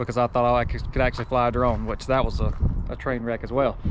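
Over noticeable background noise, a man speaks at a fairly quick pace, the sound dry with no echo. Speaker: RC hobby vlogger. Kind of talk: casual vlog chat. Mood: cheerful, self-deprecating. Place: open country. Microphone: phone near.

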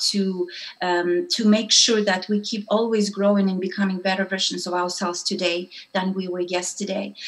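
Amid noticeable background noise, a woman with a non-native accent speaks at a moderate pace and a medium pitch, her intonation monotone and flat. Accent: foreign-accented English. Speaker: entrepreneur and women's network founder. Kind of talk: interview.

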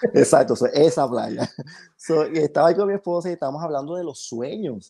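A man with a fairly high pitch and a dark, mellow tone speaks at a fairly quick pace with ordinary pitch variation against a quiet background. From Panama. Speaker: photographer; podcast guest. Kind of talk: podcast interview. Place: home room. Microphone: video call.

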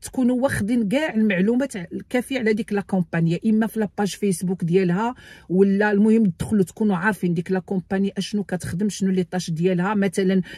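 A woman's dark, mellow, somewhat breathy voice at a fairly quick pace, with ordinary pitch variation, a dry sound with no echo, and a quiet background. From Morocco. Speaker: YouTuber giving immigration advice. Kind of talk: tutorial. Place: car. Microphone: phone near.

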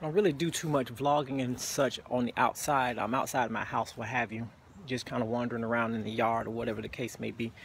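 Light background noise surrounds a man speaking at a fairly quick pace with ordinary pitch variation in a dry sound with no echo. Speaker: vlogger. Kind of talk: casual vlog chat. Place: garden. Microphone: phone near.

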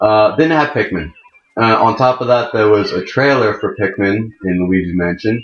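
A man's voice, carrying ordinary pitch variation at a moderate pace, is heard with audible room echo. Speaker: gaming video creator. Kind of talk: let's play gameplay commentary. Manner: animated.

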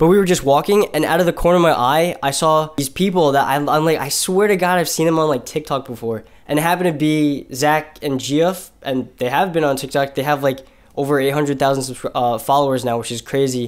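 A man at a fairly quick pace, ordinary pitch variation, against a quiet background. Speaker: vlogger. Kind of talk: casual vlog chat. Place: home room.

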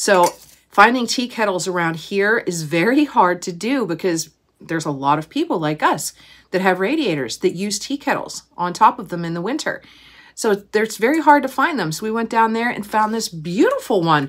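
At a moderate pace, a woman's voice makes very wide pitch swings over a quiet background. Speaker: haul vlogger. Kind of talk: casual vlog chat. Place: home room. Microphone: phone near.

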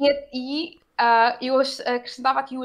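A woman with a high-pitched voice speaks over a quiet background. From Portugal. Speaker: politician. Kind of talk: interview. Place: home room. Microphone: video call.

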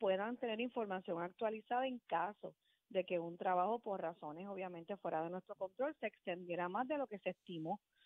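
A woman with an unremarkable speaking voice talks at a fairly quick pace. Her pitch is medium, with ordinary pitch variation. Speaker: utility company customer service manager. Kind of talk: radio interview.

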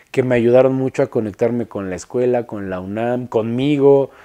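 A man with a Mexico City accent speaks in a dark, mellow tone and fairly even intonation. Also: quiet background. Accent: central Mexican Spanish (Mexico City). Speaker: industrial designer. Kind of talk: interview monologue. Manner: halting, many repetitions and fillers. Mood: relaxed, reflective. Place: studio.

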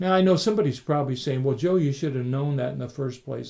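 Against a quiet background, a man speaks at a fairly high pitch with a warm, dark, mellow tone that is somewhat breathy, his pitch varying in an ordinary way. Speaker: pastor. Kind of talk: sermon. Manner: warm, conversational; earnest, teaching.

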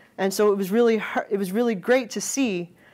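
A woman speaks at a moderate pace with fairly even intonation. Her tone is slightly mellow.

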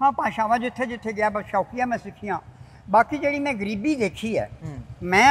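A man speaks with high pitch and lively intonation. Light background noise sits under his voice. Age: old. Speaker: retired army serviceman. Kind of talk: interview answer. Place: street. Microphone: lapel.

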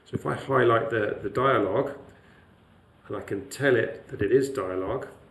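Audible room echo surrounds a man speaking at a medium pitch with ordinary pitch variation. He keeps a moderate pace, broken by long, frequent pauses. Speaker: lecturer. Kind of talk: tutorial.

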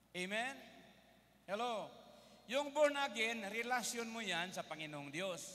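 A man's raised, projected voice, high-pitched, bright and sharp, with lively intonation and an animated tone, at a fairly slow pace with long, frequent pauses. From Philippines. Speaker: preacher. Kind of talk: sermon. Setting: stage with audience. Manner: animated, call-and-response, keeps asking the congregation for an Amen; switches between Tagalog, English and Cebuano, with humorous asides. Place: hall. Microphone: handheld.

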